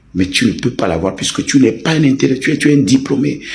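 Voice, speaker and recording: A man delivers his words at a fairly quick pace. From Togo. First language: a Togolese language (speaking French). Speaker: online commentator. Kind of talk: heated rant. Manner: animated.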